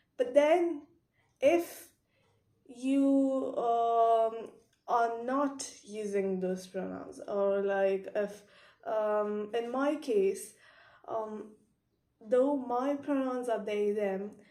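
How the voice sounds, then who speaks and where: Very slow speech with long, frequent pauses comes in a dark, mellow tone with ordinary pitch variation and audible room echo. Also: woman, fairly high pitch for a woman. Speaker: vlogger explaining gender topics. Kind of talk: explanatory vlog monologue. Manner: hesitant, many filler sounds.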